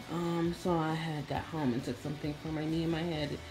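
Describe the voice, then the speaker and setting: Clear music plays in the background as a woman speaks at a fairly slow pace. Her very deep, low voice is monotone and flat. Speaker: beauty vlogger. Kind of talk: casual vlog chat. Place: home room. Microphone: phone near.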